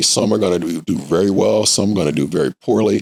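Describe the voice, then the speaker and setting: With an American accent, a man speaks at a fairly quick pace with vocal fry, the sound dry and close with no echo. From US Midwest, Indianapolis. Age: 60s. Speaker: nonprofit executive director. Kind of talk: podcast interview. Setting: studio.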